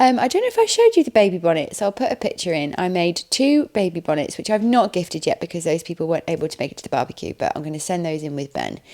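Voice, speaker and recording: In an English accent, the speaker races along at a very fast pace with lively intonation and hardly any pauses, over noticeable background noise. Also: woman, medium pitch for a woman. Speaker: vlogger. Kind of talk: casual vlog chat. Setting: at home on the sofa.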